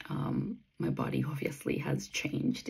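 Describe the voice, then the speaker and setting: Over a quiet background, the woman's delivery unfolds at a fairly slow pace. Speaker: runner vlogger. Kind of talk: casual vlog chat. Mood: reflective, candid. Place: home room. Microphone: phone near.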